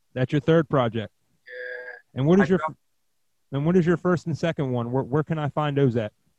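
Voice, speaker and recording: A man with an ordinary speaking voice talks at a fairly quick pace with fairly high pitch and ordinary pitch variation, in a dry, close sound with no echo. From Pennsylvania. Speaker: podcast host, DJ. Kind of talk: casual interview.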